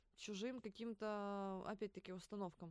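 Her tone is animated. The woman speaks at medium pitch and a moderate pace. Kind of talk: casual chat. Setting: studio.

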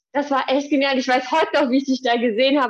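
This is a woman speaking. Her pitch is high. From Hesse, Germany (near Gießen). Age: 30s. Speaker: fitness trainer. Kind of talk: casual interview.

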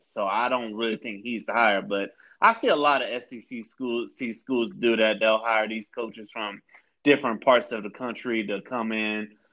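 A man with an American accent has a normal speaking voice. His pitch is medium, with ordinary pitch variation. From Florida, Tampa. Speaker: podcast host. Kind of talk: casual interview chat.

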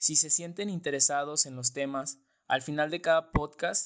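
The speaker is a man with a fairly high pitch. He goes at a fairly slow pace with fairly even intonation. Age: 20s. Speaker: political science student, podcast co-host. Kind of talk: casual podcast introduction.

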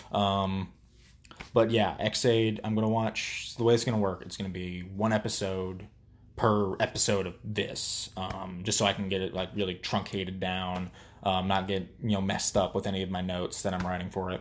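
A very deep, low-pitched man at a moderate pace, his intonation monotone and flat. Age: 20s. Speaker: solo podcaster reviewing TV episodes. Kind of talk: casual solo commentary. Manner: many filler words, scatterbrained.

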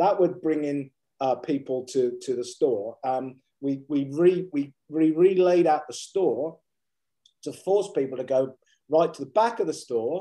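A man's fairly high voice with a dark, mellow tone, ordinary pitch variation and a fairly slow pace. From England, rural Suffolk. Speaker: business executive and coach. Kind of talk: interview. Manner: hesitant, many fillers and repetitions.

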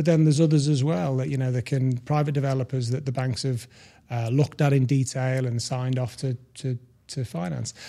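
Speaking fairly quickly with a British accent, a man has a medium pitch, ordinary pitch variation and a dark, mellow tone. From UK. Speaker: mortgage broker. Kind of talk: interview. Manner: halting.

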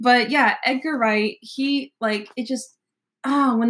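An American accent at a moderate pace. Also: woman. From US South, Nashville, Tennessee. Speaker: college student and music blogger. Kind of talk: casual chat.

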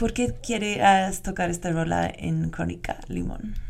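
At a very slow pace, a woman talks in a medium pitch. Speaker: radio host. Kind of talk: interview. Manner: halting.

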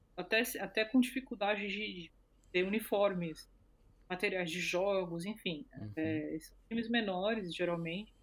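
A woman speaks in an ordinary speaking voice at medium pitch, fairly slowly, with ordinary pitch variation and big swings in loudness. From Brazil. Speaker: co-founder of women's football project. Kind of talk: interview.

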